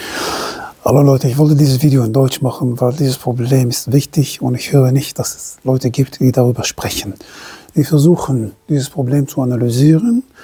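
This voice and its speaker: A woman with a non-native accent talks at a moderate pace in a very deep, low, dark and mellow voice, somewhat breathy, with ordinary pitch variation. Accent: foreign accent in German. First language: not German (speaking German). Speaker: self-employed entrepreneur, commentator. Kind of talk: opinion monologue to camera. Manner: halting, self-correcting.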